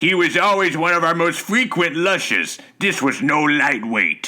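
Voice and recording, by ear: A man uses a put-on character voice, pitched high, with lively intonation. He keeps a moderate pace and very even loudness.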